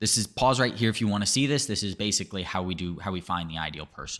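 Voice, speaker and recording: In a very clean recording with a silent background, a man with an American accent uses a normal speaking voice, fairly low in pitch with lively intonation. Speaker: lead generation agency founder. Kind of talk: sales pitch.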